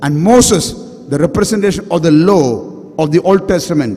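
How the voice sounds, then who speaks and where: A man with lively intonation talks at a moderate pace, noticeable background noise and audible room echo filling the recording. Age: 60s. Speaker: priest. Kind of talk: sermon.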